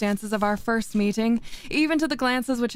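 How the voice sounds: What you hear is a natural reading voice.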